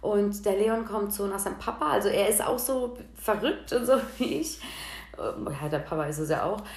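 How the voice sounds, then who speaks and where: A woman speaks at a fairly slow pace over noticeable background noise, with audible room echo. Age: 30s. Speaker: podcast host. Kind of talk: casual monologue. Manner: casual, chatty.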